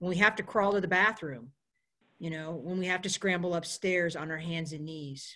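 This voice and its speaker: An American woman with an ordinary speaking voice talks at a moderate pace, using a fairly low pitch and ordinary pitch variation. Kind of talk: panel discussion. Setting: video call.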